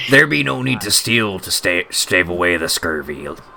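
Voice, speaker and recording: Using a put-on character voice, a man talks at a moderate pace with a very deep, low pitch while background noise is clearly audible. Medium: actual play. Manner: old-timey pirate speech, grave.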